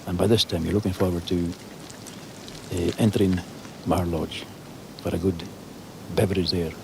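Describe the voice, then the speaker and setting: Against noticeable background noise, a man speaks in a Scottish Highland accent. His pitch is very deep and low, and his pace is moderate. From Scottish Highlands. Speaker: crofter. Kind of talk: interview answer.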